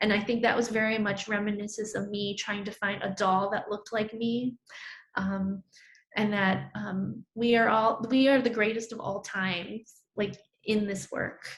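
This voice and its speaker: A somewhat breathy woman of medium pitch talks at a moderate pace with monotone, flat intonation. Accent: American. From New York (Brooklyn). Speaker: artist. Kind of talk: artist talk presenting own work. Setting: virtual talk. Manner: conversational with frequent fillers.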